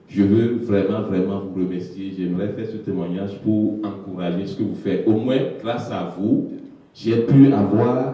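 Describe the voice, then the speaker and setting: Amid noticeable background noise and audible room echo, a man talks at a fairly slow pace in a fairly low voice with ordinary pitch variation. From Togo. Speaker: newcomer immigrant. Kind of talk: testimony.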